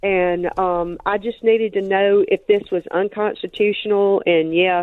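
Speaking fairly slowly with a Mississippi accent, a woman keeps a monotone, flat intonation. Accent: Southern US (Mississippi). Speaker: caller. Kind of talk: call-in chat. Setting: phone call.

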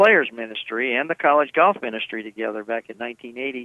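A man speaks in a plain, everyday voice at a medium pitch with an American accent. His pace is fairly quick. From Indiana. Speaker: former pro golfer and author. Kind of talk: radio interview.

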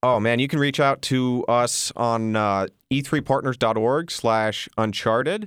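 A man with a normal speaking voice talks at a medium pitch and a fairly slow pace, with ordinary pitch variation, very even loudness, and hardly any pauses, in a very clean recording with a silent background. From Texas, raised in Colorado. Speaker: missionary. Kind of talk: radio interview. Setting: studio.

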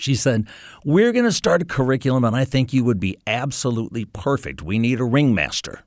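With an American accent and an ordinary speaking voice, a man talks at a fairly quick pace and medium pitch, with ordinary pitch variation and very even loudness over a quiet background. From US North. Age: 60s. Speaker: radio ministry staff and children's ministry volunteer. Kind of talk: testimony.

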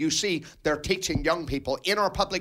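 A man speaks in a bright, sharp tone. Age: 50s. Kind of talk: radio interview.

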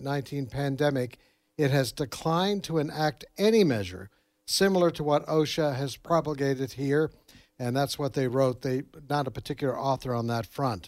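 In a very clean recording with a silent background, a man with a normal speaking voice talks at a moderate pace, his pitch fairly high with ordinary variation. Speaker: news director. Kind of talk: news report.

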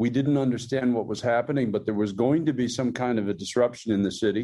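A man speaks at a fairly quick pace with a medium pitch, a dark, mellow tone and ordinary pitch variation. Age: 60s. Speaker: pastor. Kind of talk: interview. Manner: halting.

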